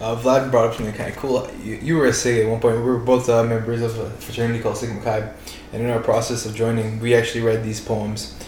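Amid noticeable background noise and audible room echo, a man with a Toronto accent talks very fast at medium pitch in a monotone, flat way. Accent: Toronto Canadian English. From Toronto, Canada (Scarborough). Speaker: student, jiu jitsu practitioner. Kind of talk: casual chat. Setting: in-person podcast recording, shared recorder.

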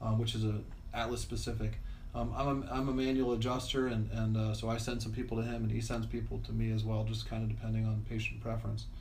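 Over noticeable background noise and audible room echo, a man talks at a very fast pace with very even loudness. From Florida, Tampa Bay area (moved from Pennsylvania as a child). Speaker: chiropractor. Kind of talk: interview. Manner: halting.

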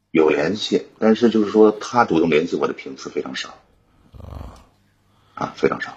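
Speaking at a moderate pace, a man makes long, frequent pauses while his loudness swings widely. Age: 40s. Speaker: caller. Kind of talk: personal problem call.

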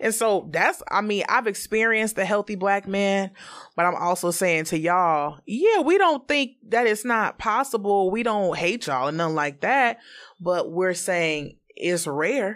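A woman with an ordinary speaking voice talks at medium pitch and a fairly slow pace with lively intonation on a very clean recording with a silent background. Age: 30s. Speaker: podcast guest. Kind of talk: casual chat.

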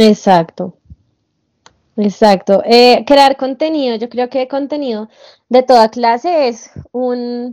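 Fairly high-pitched with a dark, mellow tone, a woman speaks very slowly with ordinary pitch variation. The sound is dry and close with no echo, over a quiet background. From Colombia. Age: 20s. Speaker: TikTok creator. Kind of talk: interview.

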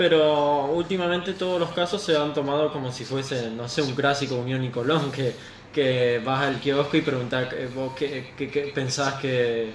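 Fairly even intonation and a fairly slow pace come through audible room echo and noticeable background noise. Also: man, fairly high pitch for a man. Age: 20s. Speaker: radio guest. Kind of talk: casual chat. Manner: halting.

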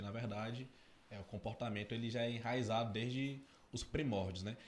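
A somewhat breathy man's voice at a medium pitch with fairly even intonation. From Tocantins, Brazil. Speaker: podcast co-host. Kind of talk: casual chat. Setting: studio.

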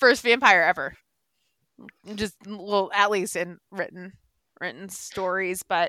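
Speaking very slowly with long, frequent pauses, a woman with an American accent has a bright, sharp tone, a medium pitch and ordinary pitch variation, recorded with a dry, close sound and no echo. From Boston area, Massachusetts. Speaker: podcast host. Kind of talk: casual chat; reading aloud.

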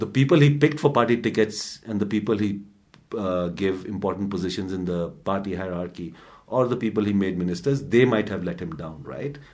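In a normal speaking voice, a man talks at a fairly low pitch with lively intonation. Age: 40s. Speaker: newspaper editor and podcast co-host. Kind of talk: casual news discussion.

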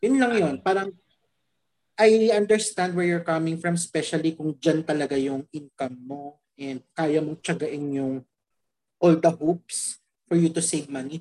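A woman with a plain, everyday voice, fairly low in pitch, with ordinary pitch variation at a fairly slow pace. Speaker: podcast co-host. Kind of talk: casual podcast chat.

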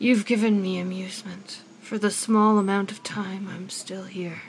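A woman uses a put-on character voice at medium pitch. She talks at a moderate pace with monotone, flat intonation. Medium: actual play. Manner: condescending, weary.

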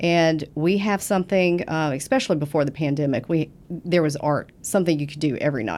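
The speaker talks at a fairly quick pace with hardly any pauses and ordinary pitch variation. The delivery comes in a Southern US accent. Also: woman, very deep, low pitch for a woman. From US South. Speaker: business development director. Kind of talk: interview.

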